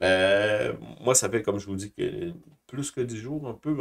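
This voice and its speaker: Over a silent background in a very clean recording, a man talks fairly slowly with lively intonation. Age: 60s. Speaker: YouTuber talking about markets and personal life. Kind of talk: personal testimony. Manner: hesitant, many fillers and repetitions.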